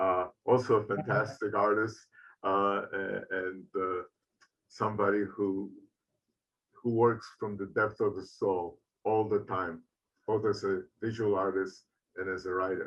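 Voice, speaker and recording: The speech is fairly slow and monotone, flat in intonation, broken by long, frequent pauses. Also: man, fairly low pitch for a man. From Poland. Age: 70s. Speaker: artist and retired professor. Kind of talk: Q&A at end of online lecture. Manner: halting, many fillers.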